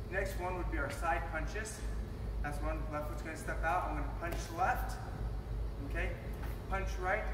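Noticeable background noise and audible room echo around a man at a fairly quick pace. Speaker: martial arts instructor. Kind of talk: tutorial. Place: gym.

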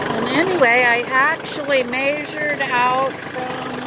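Speech at a very slow pace, dry with no echo, under loud background noise. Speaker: tractor operator. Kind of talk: casual vlog chat. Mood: excited, relaxed. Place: farm machine. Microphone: phone near.

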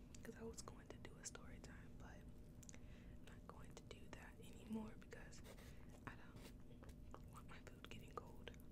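Whispering from a woman, at a fairly slow pace. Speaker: ASMR creator. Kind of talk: ASMR mukbang, casual talk to camera while eating. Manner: soft-spoken, whispery. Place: home room. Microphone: studio mic.

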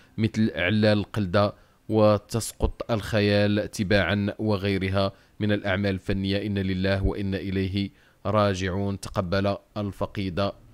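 A man's very slow, monotone, flat speech at a fairly low pitch with a Moroccan accent, in a very clean recording with a silent background and a dry, close sound with no echo. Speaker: news channel presenter. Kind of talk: news reading.

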